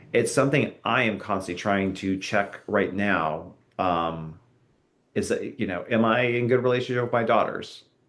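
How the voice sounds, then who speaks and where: There is audible room echo around a man who speaks at a fairly low pitch with an American accent. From Southern California. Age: 40s. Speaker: author and Bible scholar. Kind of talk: interview conversation. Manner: halting.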